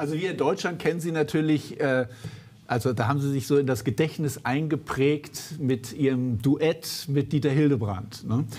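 This man's voice has a slightly mellow tone and ordinary pitch variation. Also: fairly high pitch for a man, moderate pace, few pauses.

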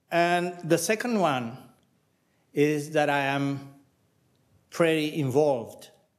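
In a Spanish accent, a man talks at a fairly high pitch and a very slow pace. His long pauses come often, over a quiet background. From Venezuela. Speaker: political scientist, former minister; former minister. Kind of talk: academic panel talk. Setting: panel with audience. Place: hall. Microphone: podium.

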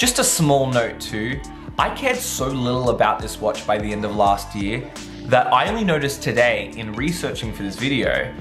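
Music plays in the background. A man speaks over it at a moderate pace. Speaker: tech vlogger. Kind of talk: casual vlog review. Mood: frustrated, wry. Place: home room.

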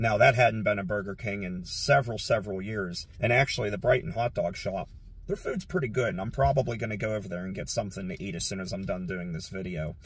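Talking at a very fast pace with hardly any pauses, a man uses a fairly low pitch, ordinary pitch variation and a somewhat breathy voice in a dry sound with no echo. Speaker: urban exploration vlogger. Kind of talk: casual vlog chat. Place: car. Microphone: phone near.

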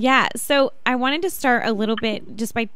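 A woman at a moderate pace with ordinary pitch variation, in a dry sound with no echo. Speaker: radio show host. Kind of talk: radio host introduction and interview question. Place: studio. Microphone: studio mic.

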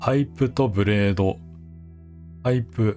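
A man's fairly low voice with ordinary pitch variation, at a very slow pace, with music in the background. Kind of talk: gameplay commentary. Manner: calm, not loud.

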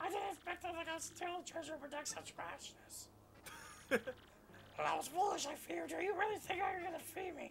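Against clear background noise, a put-on character voice with an extremely high pitch moves at a moderate pace. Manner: imposing, theatrical.

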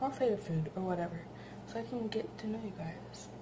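A soft-spoken woman is heard over noticeable background noise. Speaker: new vlogger. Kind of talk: casual talk to camera. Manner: soft-spoken, quiet. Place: kitchen. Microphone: phone near.

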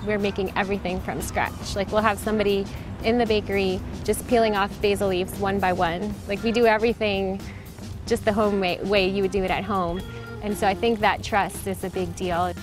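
Over clear background music, a woman talks at a fairly quick pace in a monotone, flat voice with a dry sound and no echo. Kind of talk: interview answer. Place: street. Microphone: lapel.

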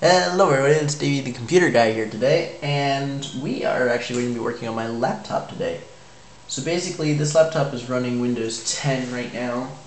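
Fairly quick talk from a man amid noticeable background noise. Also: ordinary pitch variation. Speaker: tech YouTuber. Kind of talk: casual tutorial narration. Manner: casual, chatty, slightly halting.

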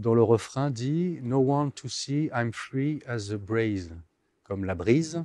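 A man speaks at a very slow pace with lively intonation, his voice dry with no echo against a quiet background. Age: 50s. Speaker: visual artist; interviewee. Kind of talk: interview. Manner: halting. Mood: calm, reflective. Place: hall. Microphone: lapel.

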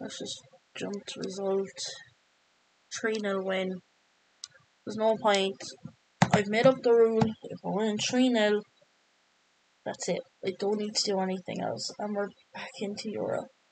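A woman with an Irish accent speaks at a moderate pace in a monotone, flat intonation. Her loudness swings a lot, and she takes long, frequent pauses. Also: medium pitch for a woman. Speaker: video game streamer. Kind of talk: gameplay commentary, live football game stream. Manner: rambling, thinking aloud, flustered when pressured, then focused and muttering.

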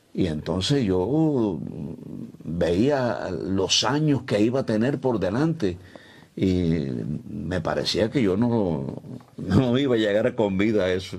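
A man's very slow speech, fairly low in pitch, with very even loudness. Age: 70s. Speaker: radio announcer. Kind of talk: interview answer. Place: studio. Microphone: lapel.

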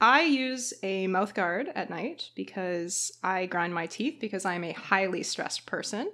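A woman with a Canadian accent, medium in pitch, with a bright, sharp tone, lively intonation, a fairly slow pace and hardly any pauses. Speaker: podcast co-host, PhD student. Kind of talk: casual chat.

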